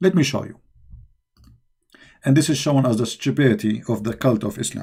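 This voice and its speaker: With lively intonation and a fairly quick pace, a man speaks in a dark, mellow, somewhat breathy tone. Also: medium pitch for a man. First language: not English. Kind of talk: live-stream polemic monologue. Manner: heated, mocking; halting with restarts.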